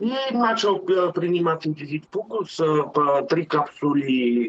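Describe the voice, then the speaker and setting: With a Bulgarian accent and lively intonation, a man speaks at a very slow pace. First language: Bulgarian (speaking Russian). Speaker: truck driver, customer testimonial. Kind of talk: testimony. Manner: halting, many filler sounds.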